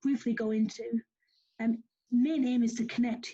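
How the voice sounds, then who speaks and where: A woman's high voice with a dark, mellow tone, ordinary pitch variation and a northern English accent. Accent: northern English, noticeable. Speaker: youth program organiser presenting. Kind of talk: online presentation. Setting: video call. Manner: fast; hesitant, many fillers.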